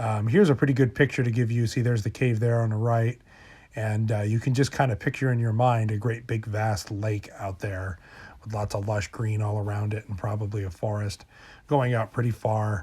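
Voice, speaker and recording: A man talks at a fairly quick pace, his voice somewhat breathy. His intonation stays fairly even. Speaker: paranormal storyteller. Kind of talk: casual talk to camera.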